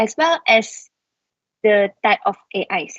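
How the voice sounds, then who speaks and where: The speaker is a woman. Her pitch is fairly high. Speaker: webinar presenter. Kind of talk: lecture. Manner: quiet; slow.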